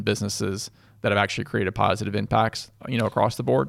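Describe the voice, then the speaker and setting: Over a silent background in a very clean recording, a man with a fairly low pitch and vocal fry speaks at a very fast pace. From Louisville, Kentucky. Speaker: growth equity investor. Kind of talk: casual interview. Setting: studio.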